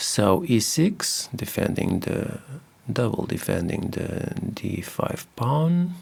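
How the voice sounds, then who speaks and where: A man with a non-native accent, at a medium pitch with very wide swings, very slow pace, noticeable background noise. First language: not English. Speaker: chess video creator. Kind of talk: game analysis commentary. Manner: hesitant, many fillers.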